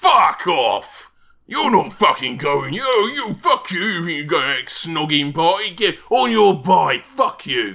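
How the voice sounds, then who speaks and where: A man shouting in a put-on character voice with a Cockney accent, high-pitched and at a fairly slow pace. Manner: angry, shouting.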